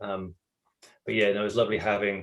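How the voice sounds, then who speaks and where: A man with a British accent speaks in a fairly low voice. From England. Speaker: voice actor. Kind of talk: interview answer.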